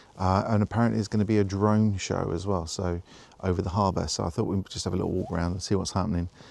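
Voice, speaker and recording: A soft-spoken man talks at a very fast pace with a fairly low pitch. His intonation stays monotone and flat. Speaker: vicar. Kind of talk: casual vlog narration while walking. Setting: outdoors, walking through town at night. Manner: quiet, talking softly; hesitant, many fillers.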